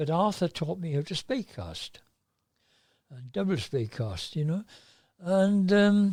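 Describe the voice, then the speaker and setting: Speaking fairly slowly, a man uses a high voice with lively intonation. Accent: South Welsh. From South Wales. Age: 80s+. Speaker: fly fisherman. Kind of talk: podcast interview answer. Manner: hesitant, conversational.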